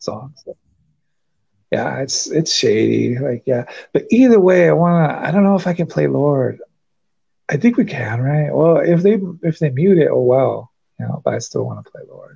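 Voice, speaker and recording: Moderate pace, with long, frequent pauses. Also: man. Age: 30s. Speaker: podcast host. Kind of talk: casual chat.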